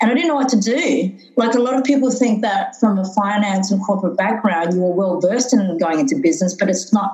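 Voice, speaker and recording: Medium pitch from a woman, noticeable background noise behind it. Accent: Australian. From Australia, Darwin, Northern Territory. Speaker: business founder. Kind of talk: interview. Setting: podcast recording. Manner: hesitant, many fillers.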